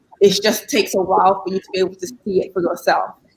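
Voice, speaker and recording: At a very fast pace, a woman speaks. She has a British accent. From London, England. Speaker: guest panelist. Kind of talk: casual chat.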